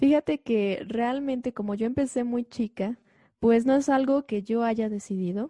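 Recorded with a dry, close sound, no echo, and a quiet background, a woman talks in an ordinary speaking voice. She keeps a fairly slow pace with ordinary pitch variation. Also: fairly high pitch for a woman. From Mexico, Xalapa, Veracruz. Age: 20s. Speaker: concert pianist. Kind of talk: interview conversation.

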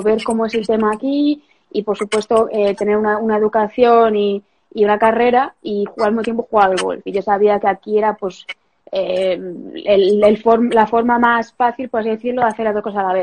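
At a moderate pace, a woman with a fairly high pitch and fairly even intonation speaks in an unremarkable speaking voice. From Spain, Galicia (Santiago de Compostela). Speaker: professional golfer. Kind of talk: casual interview. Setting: Instagram live video call.

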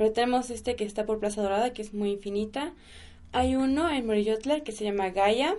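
A woman's dark, mellow tone at a fairly high pitch, at a fairly quick pace. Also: ordinary pitch variation. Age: 20s. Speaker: kundalini yoga teacher. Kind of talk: casual interview chat.

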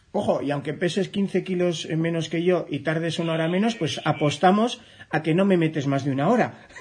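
Using ordinary pitch variation, a man with a high pitch speaks at a fairly quick pace. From Navarre, Ribera area, Spain. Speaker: trail running journalist and radio host. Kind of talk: radio interview.

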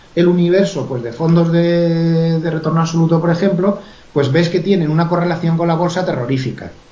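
High in pitch, a man speaks at a fairly quick pace, with audible room echo and noticeable background noise. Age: 50s. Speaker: author and professional trader. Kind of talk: interview.

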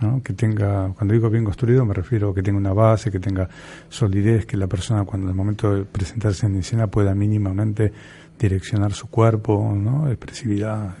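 Somewhat breathy and dark, mellow in tone, a man speaks in a fairly low pitch at a fairly quick pace. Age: 60s. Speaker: theatre teacher and radio co-host. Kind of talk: casual chat. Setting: studio.

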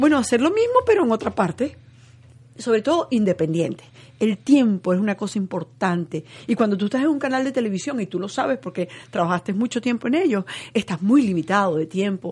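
At a fairly quick pace, a woman speaks in a fairly high, somewhat breathy voice with very wide pitch swings. The background is quiet. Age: 60s. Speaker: television journalist. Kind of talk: interview conversation.

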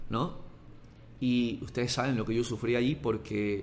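This is a normal speaking voice with fairly even intonation. It moves at a moderate pace. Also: man. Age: 30s. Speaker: sports journalist and podcaster. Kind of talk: motivational monologue.

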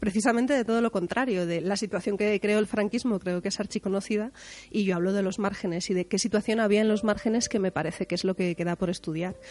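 The woman talks at medium pitch with fairly even intonation. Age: 30s. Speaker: music journalist. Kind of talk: casual chat.

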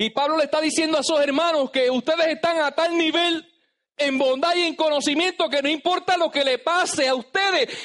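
A man's extremely high-pitched, animated voice at a fairly quick pace, with ordinary pitch variation. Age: 30s. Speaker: pastor. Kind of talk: sermon. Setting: church.

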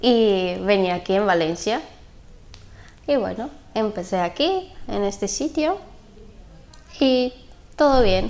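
Speaking very slowly in a Bulgarian accent, a woman with a medium-pitched voice uses lively intonation broken by long, frequent pauses. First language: Bulgarian (speaking Spanish). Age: 20s. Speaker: sex worker. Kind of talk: interview. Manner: halting.

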